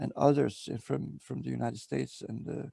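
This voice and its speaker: Man with a dark, mellow tone and fairly low pitch, vocal fry, and very wide pitch swings. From Montenegro. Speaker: interview guest, Seth material enthusiast. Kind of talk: interview. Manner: halting, many fillers.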